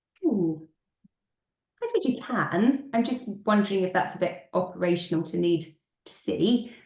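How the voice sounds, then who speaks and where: A woman's somewhat breathy, medium-pitched voice with lively intonation and long, frequent pauses. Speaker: school finance consultant. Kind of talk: webinar presentation. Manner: fast.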